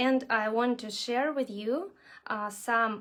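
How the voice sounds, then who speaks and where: This woman speaks with a strong Russian accent and fairly even intonation. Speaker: nail art instructor. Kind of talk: live online tutorial. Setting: livestream video class. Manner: halting, many fillers.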